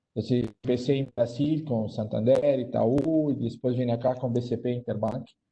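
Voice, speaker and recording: Somewhat breathy and dark, mellow in tone, a man speaks at a moderate pace and medium pitch, with monotone, flat intonation and hardly any pauses. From Brazil. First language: Portuguese (speaking Spanish). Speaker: banking digital transformation executive. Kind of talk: panel discussion.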